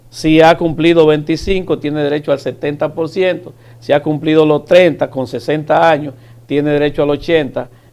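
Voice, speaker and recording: In a plain, everyday voice, the speaker goes at a moderate pace with fairly even intonation. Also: man, fairly high pitch for a man. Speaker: government official. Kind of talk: TV interview.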